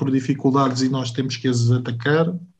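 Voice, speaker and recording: The man speaks at a moderate pace in a somewhat breathy voice. His intonation is monotone and flat. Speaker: podcast host. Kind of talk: interview conversation.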